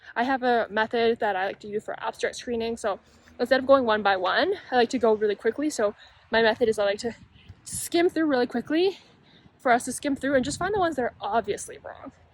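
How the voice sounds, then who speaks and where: The voice runs at a very fast pace with lively intonation, in a dry, close sound with no echo. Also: woman, high pitch for a woman. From Canada. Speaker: medical student and YouTuber. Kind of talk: casual vlog talk. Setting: outdoors on campus. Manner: mumbling, quiet.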